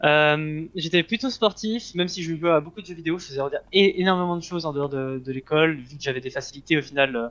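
Speaking at a fairly quick pace with hardly any pauses, a man with a fairly high voice shows ordinary pitch variation and big swings in loudness. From Switzerland. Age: 20s. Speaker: esports player. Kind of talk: interview. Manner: halting, many fillers.

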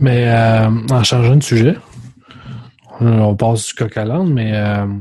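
Somewhat breathy, a man's voice sits at medium pitch with a dark, mellow tone. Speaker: podcast host. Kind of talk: casual chat.

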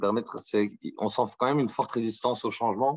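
The speech moves at a fairly quick pace with fairly even intonation, in a very clean recording with a silent background. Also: man. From Belgium, Brussels. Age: 30s. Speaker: management consultant, legal operations manager. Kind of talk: interview. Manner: hesitant, many fillers.

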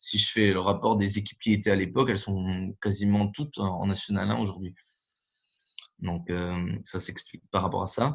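Pausing long and often, a man speaks at a moderate pace in a fairly low voice with ordinary pitch variation. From northern France (Nord). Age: 30s. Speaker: handball coach. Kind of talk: interview.

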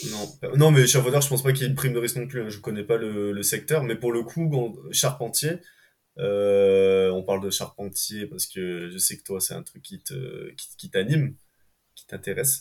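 Somewhat breathy and at a medium pitch, a man speaks at a moderate pace with lively intonation and big swings in loudness. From France, Ardèche. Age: 20s. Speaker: rope access technician. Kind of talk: casual interview chat.

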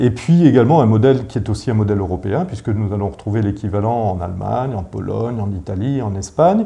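Fairly low in pitch, a man's voice carries lively intonation. He talks at a very fast pace. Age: 50s. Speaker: urban renewal company director. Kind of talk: interview. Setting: his office. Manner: halting, many repetitions and fillers.

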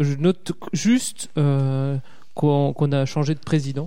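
The tone is dark and mellow. The speaker has an Alsatian accent. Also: man. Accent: Alsatian, sing-song. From southern Alsace. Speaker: podcaster. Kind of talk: casual chat.

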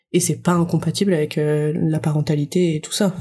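A woman talks at a moderate pace in a somewhat breathy voice. Her intonation is monotone and flat. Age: 20s. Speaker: young mother. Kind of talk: casual interview.

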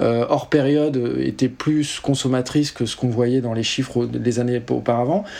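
The man's voice has a medium pitch that varies in an ordinary way. He keeps a moderate pace. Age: 30s. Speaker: tech company founder and CEO. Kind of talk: interview. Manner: hesitant, many fillers.

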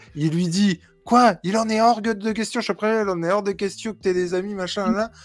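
Speaking at a moderate pace, a man with a regional French accent has a high voice. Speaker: podcast co-host. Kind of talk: casual chat.

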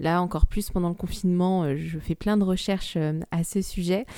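A dark, mellow tone at a fairly quick pace with fairly even intonation. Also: woman. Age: 20s. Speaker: podcast co-host. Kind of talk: casual chat.

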